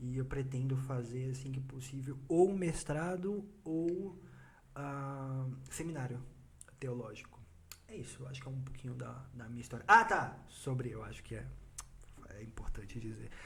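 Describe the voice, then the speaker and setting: Medium-pitched male speech at a moderate pace, with ordinary pitch variation, long, frequent pauses and audible room echo. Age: 20s. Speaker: church youth leader. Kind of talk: casual chat.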